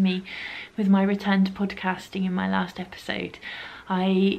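At a moderate pace, a woman talks. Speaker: knitting podcaster. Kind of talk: casual vlog chat. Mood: warm, grateful. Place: home room.

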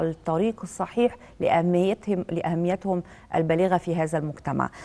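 The woman's voice sits at a fairly low pitch. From Egypt. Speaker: TV talk show presenter. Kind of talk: TV interview program hosting. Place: studio. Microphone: lapel.

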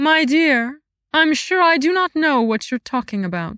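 A woman puts on a character voice in a high pitch, with very wide pitch swings at a moderate pace. The recording is very clean, with a silent background and a dry, close sound with no echo. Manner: icy, regal, falsely warm.

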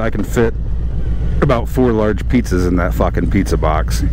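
The sound is dry with no echo, and there is noticeable background noise. A man is speaking. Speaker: motorcycle vlogger. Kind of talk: casual vlog chat. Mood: relaxed, joking. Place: motorbike.

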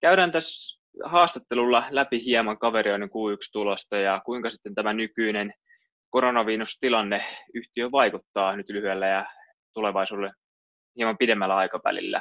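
At a moderate pace, a man with a bright, sharp tone and ordinary pitch variation is heard in a dry sound with no echo over a quiet background. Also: medium pitch for a man. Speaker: investment analyst interviewer. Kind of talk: business interview. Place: home room. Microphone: webcam.

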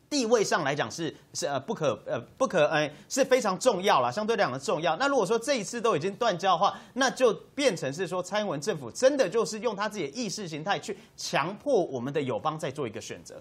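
This man's voice sits high in pitch and swings very widely. He talks at a fairly quick pace with hardly any pauses. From Taiwan. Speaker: party spokesperson; talk show guest. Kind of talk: TV political talk show panel. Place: studio.

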